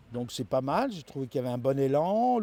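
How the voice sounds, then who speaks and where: The voice moves in very wide pitch swings. The recording is very clean, with a silent background. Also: man. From Paris, France. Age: 60s. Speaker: regional election candidate. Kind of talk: interview. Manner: halting, with many repetitions and fillers.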